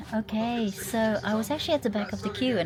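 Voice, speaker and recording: The speech moves at a very fast pace. Noticeable background noise is present. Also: woman. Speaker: travel vlogger. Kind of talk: vlog narration. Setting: bus station then on coach. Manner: halting, many fillers.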